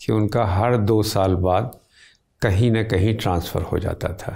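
A man's very slow, fairly low voice with a dark, mellow tone and fairly even intonation, against a quiet background. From India, Uttar Pradesh (Azamgarh, Banaras); Uttar Pradesh. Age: old. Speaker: literary critic, professor; professor. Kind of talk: interview, reminiscence. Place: home room. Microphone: lapel.

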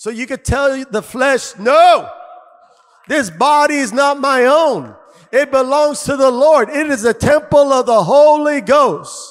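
An extremely high-pitched male voice with an animated tone, fairly slow pace, ordinary pitch variation, and a quiet background. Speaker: pastor. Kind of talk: sermon. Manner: animated, loud, call-and-response exhortation; fervent, punchy, repeating phrases. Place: church. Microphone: handheld.

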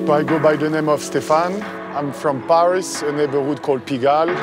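The man talks while clear music sounds in the background, and the recording is dry with no echo. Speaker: court creator. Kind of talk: interview answer. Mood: relaxed, reflective. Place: street.

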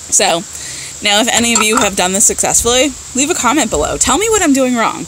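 A woman talks at a fairly quick pace with very wide pitch swings. There is light background noise. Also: dry sound with no echo. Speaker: beauty vlogger. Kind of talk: casual vlog chat. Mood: mildly frustrated, joking. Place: garden. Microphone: phone near.

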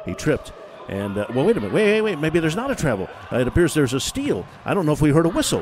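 Against noticeable background noise, a man speaks very fast in an energetic tone, his fairly high pitch swinging very widely. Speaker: professional radio play-by-play announcer. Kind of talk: sports play-by-play commentary. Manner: fast, fluent, energetic.

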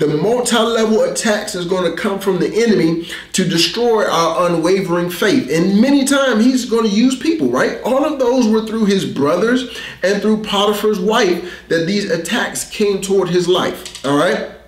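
A man talks at a moderate pace, his voice carrying audible room echo. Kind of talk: sermon. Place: studio.

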